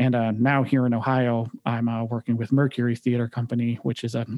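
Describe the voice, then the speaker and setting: A man with a Midwestern US accent talks at a fairly quick pace, the sound dry and close with no echo. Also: very clean recording, silent background. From Michigan, Detroit area. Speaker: music director and pianist. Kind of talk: casual interview.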